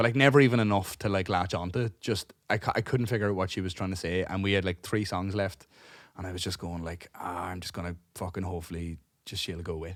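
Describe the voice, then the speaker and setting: A man speaks at a very fast pace in a very deep, low voice. The recording is very clean, with a silent background. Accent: Cork. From Ireland, Cork. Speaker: podcast co-host and gigging musician. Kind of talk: casual chat, storytelling. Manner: animated; halting.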